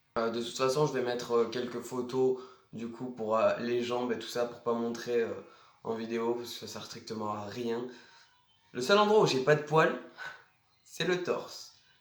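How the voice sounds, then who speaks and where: Audible room echo hangs around speech delivered at a fairly slow pace. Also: man. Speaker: vlogger. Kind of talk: casual vlog. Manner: casual, hesitant with many fillers.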